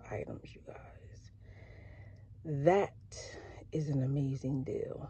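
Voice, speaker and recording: A woman at a very slow pace, the sound dry with no echo. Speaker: couponing YouTuber. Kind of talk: shopping haul vlog. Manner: lower energy than usual. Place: car. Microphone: phone near.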